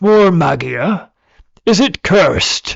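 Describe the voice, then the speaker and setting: A man puts on a raspy character voice pitched high. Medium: read story. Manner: grandiloquent, archaic, heroic.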